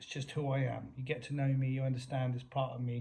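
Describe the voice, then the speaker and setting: A man with an American accent has a dark, mellow tone that is somewhat breathy. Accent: English, sometimes slips into American. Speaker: YouTuber. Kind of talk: confrontational vlog rant.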